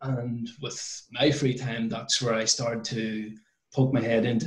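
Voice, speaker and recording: Audible room echo surrounds a man speaking in a flat monotone. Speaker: interview guest. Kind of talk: interview answer. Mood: relaxed, occasional laughs. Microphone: video call.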